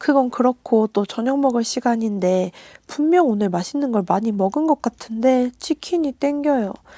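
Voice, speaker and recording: A woman talks at a moderate pace at a high pitch with a dark, mellow tone. The sound is dry and close, with no echo. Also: lively intonation. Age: 30s. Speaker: vlogger. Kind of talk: vlog voiceover narration.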